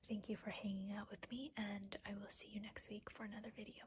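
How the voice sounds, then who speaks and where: Soft-spoken delivery at a fairly quick pace. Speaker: planner YouTuber. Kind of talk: casual vlog chat while planning. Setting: at home at night, others asleep. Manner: quiet, soft-spoken.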